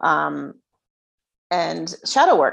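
The pace is very slow. A woman is talking with an American accent. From New Jersey. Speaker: self-worth coach. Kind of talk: casual interview chat.

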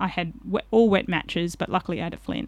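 A woman speaks with an Australian accent at a fairly low pitch. The recording is very clean, with a silent background. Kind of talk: casual chat.

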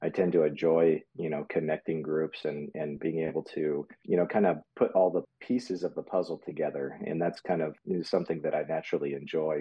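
A man speaks with a very deep, low pitch. He moves at a fairly quick pace with fairly even intonation. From US, military family; born in Germany. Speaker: business co-founder and operations executive. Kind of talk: interview.

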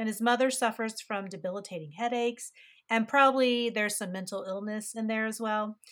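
At a fairly quick pace, an ordinary speaking voice with an American accent keeps a fairly even intonation. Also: woman, fairly high pitch for a woman. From West Virginia. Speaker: podcast host. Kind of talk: casual chat. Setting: remote recording.

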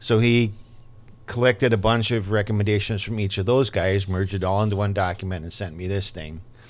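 Fairly low in pitch, a man speaks fairly quickly in an unremarkable speaking voice with fairly even intonation. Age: 60s. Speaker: independent film director. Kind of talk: casual interview.

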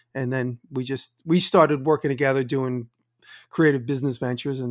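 At a very fast pace, a man with a New York accent speaks at a medium pitch in a dry, close sound with no echo. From US Northeast (Long Island, New York). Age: 50s. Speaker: woodworker and maker. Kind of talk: casual chat. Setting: video call. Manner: animated storyteller.

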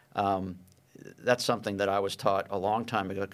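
In an American accent, a man with a fairly low pitch and an unremarkable speaking voice talks at a moderate pace. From Pittsburgh, Pennsylvania. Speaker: business consultant and angel investor. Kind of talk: interview. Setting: studio.

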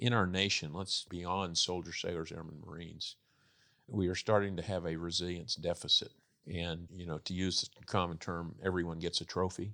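A man with an American accent, very deep and low in pitch, with a bright, sharp tone and monotone, flat intonation at a fairly quick pace, in a very clean recording with a silent background. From Texas. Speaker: retired army general. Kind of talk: interview.

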